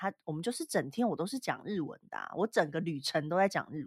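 In a very clean recording with a silent background and a dry, close sound with no echo, a woman with a plain, everyday voice speaks fairly quickly at a fairly low pitch, her intonation lively. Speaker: podcast co-host. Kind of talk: casual chat.

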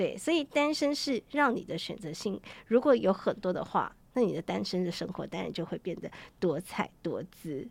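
A woman's voice carries vocal fry and swings very widely in pitch. She keeps a moderate pace. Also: medium pitch for a woman. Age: 40s. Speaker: travel writer. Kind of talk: interview.

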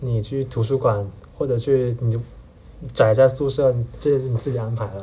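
A man's somewhat breathy, dark, mellow voice with a Hakka accent and fairly even intonation. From Heyuan, Guangdong, China. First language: Hakka (speaking Chinese). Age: 20s. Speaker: university student. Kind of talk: casual interview chat.

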